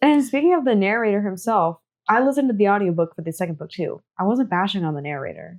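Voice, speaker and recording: The speech comes very fast with very wide pitch swings in an American accent. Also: woman, medium pitch for a woman. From United States. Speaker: podcast co-host. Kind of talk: casual chat.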